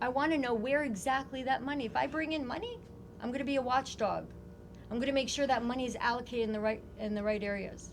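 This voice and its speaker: Over music in the background and audible room echo, a woman talks at a very fast pace in a high, animated voice. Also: ordinary pitch variation. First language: not English. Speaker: congressional candidate. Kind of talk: interview.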